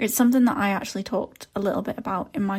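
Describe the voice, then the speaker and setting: The voice is somewhat breathy with ordinary pitch variation. The recording is very clean, with a silent background. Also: woman. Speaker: podcast host, social media strategist. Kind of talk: solo podcast talk. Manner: casual, chatty.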